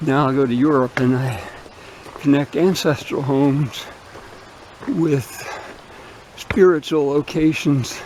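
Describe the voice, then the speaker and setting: Over noticeable background noise, the speaker talks at a fairly slow pace in a relaxed tone, with fairly even intonation and long, frequent pauses. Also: man, fairly high pitch for a man. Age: 70s. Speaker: spiritual vlogger. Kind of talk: casual vlog monologue. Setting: outdoors, hiking a woodland trail. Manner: relaxed, rambling with fillers.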